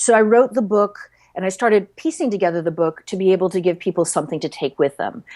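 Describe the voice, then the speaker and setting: The speech is very fast, with lively intonation. The recording is very clean, with a silent background. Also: woman, medium pitch for a woman. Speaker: psychologist and breathing coach, author. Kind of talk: podcast interview; guided breathing instruction. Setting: podcast. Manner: animated.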